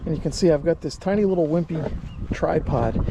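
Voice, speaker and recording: Over noticeable background noise, a man with an American accent talks at a moderate pace in a fairly high pitch. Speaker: ham radio youtuber. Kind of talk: travel vlog narration and on-location tutorial. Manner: casual.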